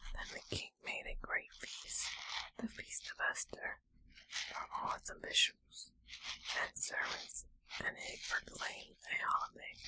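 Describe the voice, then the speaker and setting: Whispering at a fairly slow pace, a woman uses a gentle, soothing tone. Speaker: ASMR creator. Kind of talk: soft-spoken Bible reading for relaxation. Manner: soft, gentle, soothing.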